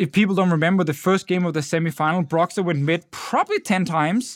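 A man with a Danish accent, high-pitched for a man, at a fairly quick pace with fairly even intonation, in a dry, close sound with no echo. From Denmark. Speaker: esports podcast co-host and analyst. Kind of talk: casual chat.

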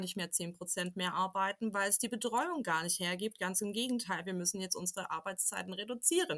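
Speaking at a moderate pace and medium pitch, a woman talks with a slight Swabian accent. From Swabia, southwest Germany. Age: 30s. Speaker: parent representative and communication trainer. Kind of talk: interview.

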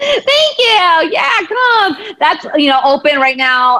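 A woman with an American accent projects a raised voice in a bright, sharp tone, her pitch swinging very widely. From United States, Punjabi American family. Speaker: therapist and empowerment coach. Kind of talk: casual interview chat.

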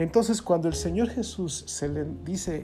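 The echo of the room is audible. A man talks at a moderate speed. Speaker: pastor. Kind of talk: sermon. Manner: animated.

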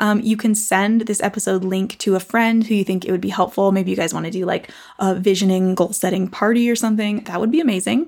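In a very clean recording with a silent background, a woman speaks at a very fast pace with fairly even intonation. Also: medium pitch for a woman. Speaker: podcast host and online business coach. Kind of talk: solo podcast monologue about goal setting and mindset. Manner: fast talker; casual, conversational.

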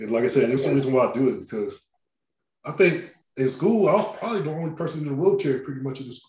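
A man with an American accent talks at a very fast pace in a fairly high, somewhat breathy voice, with lively intonation and big swings in loudness. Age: 30s. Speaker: podcast host, wheelchair user. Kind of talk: casual interview chat. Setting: remote call.

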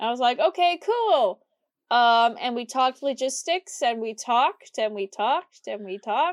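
Recorded with a dry, close sound and no echo, a woman in an American accent speaks at a moderate pace with a high pitch and lively intonation. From US Midwest. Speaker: podcast co-host. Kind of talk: casual chat.

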